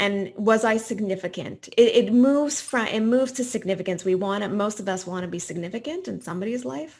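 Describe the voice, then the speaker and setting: A woman with a Canadian accent speaks in an ordinary speaking voice at a medium pitch, fairly quick and with hardly any pauses, showing ordinary pitch variation on a very clean recording with a silent background. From Quebec, Montreal. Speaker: professor and retirement researcher. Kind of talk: podcast interview.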